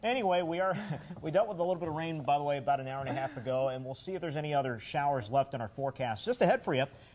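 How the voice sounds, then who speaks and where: A man talks at a very fast pace in an American accent. His voice is fairly high, with ordinary pitch variation. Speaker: television meteorologist and morning show co-host. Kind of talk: local TV morning show weather forecast and banter.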